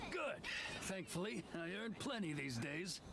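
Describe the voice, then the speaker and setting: Over loud background noise, a man puts on a character voice at a high pitch. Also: moderate pace. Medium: video game.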